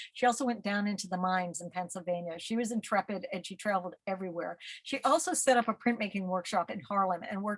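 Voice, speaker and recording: The delivery is very fast, somewhat breathy and shows ordinary pitch variation. The sound is dry and close, without echo. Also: woman. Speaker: museum curator giving art talk. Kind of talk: lecture. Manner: halting, many fillers.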